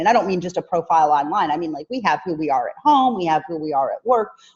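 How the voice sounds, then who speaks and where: Talking at a very fast pace, a woman uses lively intonation and a fairly low pitch. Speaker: business trainer. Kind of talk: online training webinar.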